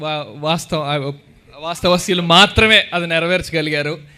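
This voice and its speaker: This man's voice is high for a man, with a bright, sharp tone. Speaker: film actor. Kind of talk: speech at film trailer launch event. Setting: auditorium with live crowd.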